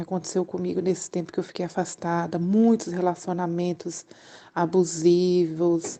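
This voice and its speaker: A dark, mellow tone with monotone, flat intonation at a fairly slow pace. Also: woman. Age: 40s. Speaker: churchgoer sharing her life story. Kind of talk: testimony. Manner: halting.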